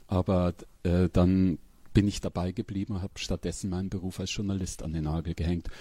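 Very deep and low, this man's voice has a dark, mellow tone and is somewhat breathy. His intonation stays fairly even. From Upper Palatinate, northeastern Bavaria. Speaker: crime novelist. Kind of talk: interview conversation. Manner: halting.

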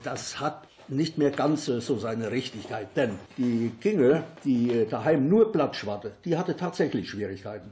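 With a Siegerland accent, a man speaks at a fairly slow pace with very wide pitch swings. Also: medium pitch for a man. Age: old. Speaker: local dialect enthusiast and workshop leader. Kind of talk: interview and reading aloud dialect poems.

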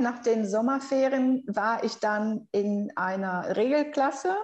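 A woman speaks with a Brazilian accent. Her pitch is high. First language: Brazilian Portuguese (speaking German). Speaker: researcher and language teacher. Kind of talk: interview.

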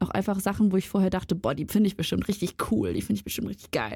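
On a very clean recording with a silent background, a woman speaks. Her pace is very fast. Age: 20s. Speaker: student podcaster. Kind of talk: casual chat.

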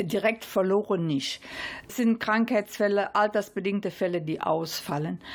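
A woman's voice with big swings in loudness, over noticeable background noise. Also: medium pitch for a woman, ordinary pitch variation, moderate pace. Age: 70s. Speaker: fitness trainer. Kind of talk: interview.

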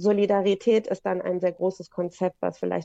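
A woman talks at a moderate pace. The sound is dry and close with no echo, over a quiet background. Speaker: lawyer. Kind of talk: interview. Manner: hesitant, many fillers.

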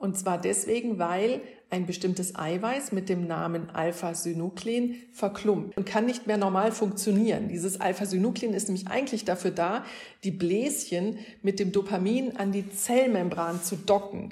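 Speaking at a moderate pace, a woman has a medium-pitched, somewhat breathy voice with a dark, mellow tone and fairly even intonation. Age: 50s. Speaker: neurologist. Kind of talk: explaining to children.

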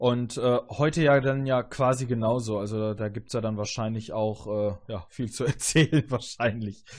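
A man talks in an ordinary speaking voice at medium pitch. His pace is fairly slow, with ordinary pitch variation. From southern Germany, Augsburg area. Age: 30s. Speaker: podcast host. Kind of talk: casual chat.

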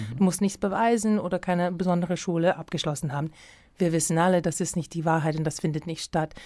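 On a very clean recording with a silent background, a woman with an American accent talks very fast in a dark, mellow tone, fairly low in pitch, her intonation fairly even. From US Midwest, Minneapolis. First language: English (speaking German). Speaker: dance director and choreographer. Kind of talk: interview. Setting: radio studio. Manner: halting, with many fillers.

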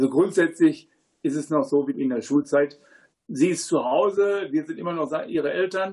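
Speaking with a plain, everyday voice, a man keeps a moderate pace and ordinary pitch variation. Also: fairly high pitch for a man. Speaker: agricultural engineer and parent. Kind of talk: studio talk show interview. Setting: studio.

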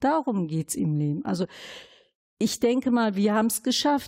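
A woman's somewhat breathy, dark, mellow voice at a fairly high pitch, with very wide pitch swings and a fairly slow pace, on a very clean recording with a silent background. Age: 50s. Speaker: city councillor and integration worker. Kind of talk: interview conversation.

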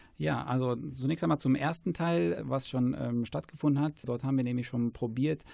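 At a fairly quick pace, a man speaks in a dark, mellow tone of medium pitch with ordinary pitch variation. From Germany, Paderborn. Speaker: school principal and Italian teacher. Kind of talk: radio interview. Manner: hesitant with frequent fillers.

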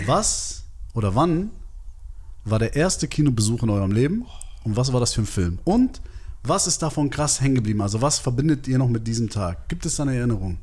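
Somewhat breathy and medium in pitch, a man talks at a fairly quick pace with lively intonation, broken by long, frequent pauses. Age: 30s. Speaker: film podcast co-host. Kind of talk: casual chat.

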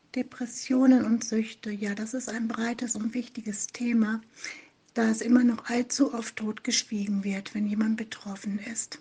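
The intonation is monotone and flat at a fairly slow pace. Noticeable background noise is present. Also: woman, fairly high pitch for a woman. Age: 50s. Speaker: online support group administrator. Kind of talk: interview.

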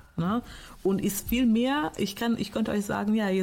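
Dark, mellow tone from a woman, somewhat breathy. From Portugal. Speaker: teacher. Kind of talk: interview.

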